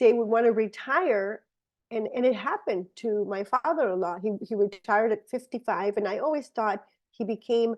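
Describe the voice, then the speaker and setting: At a fairly quick pace, a woman talks at a fairly high pitch with ordinary pitch variation. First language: Spanish. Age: 50s. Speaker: supplement presenter. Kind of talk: product presentation. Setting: video call. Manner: halting.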